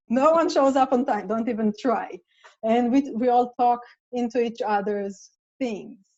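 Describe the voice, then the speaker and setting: Speaking with an Israeli accent, a woman uses a high pitch with ordinary pitch variation at a fairly slow pace. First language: Hebrew. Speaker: playwright. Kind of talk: casual chat.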